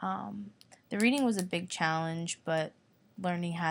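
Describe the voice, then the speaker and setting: Recorded very cleanly against a silent background, a woman speaks with a Spanish accent. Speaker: interviewee, former English learner. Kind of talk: interview.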